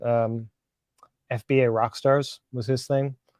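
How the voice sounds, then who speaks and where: A man with a Northern California accent speaks at a medium pitch. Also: dry, close sound with no echo. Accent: Northern California, Philly accent dropped. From Philadelphia, Pennsylvania. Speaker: live stream guest, reseller. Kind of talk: casual chat.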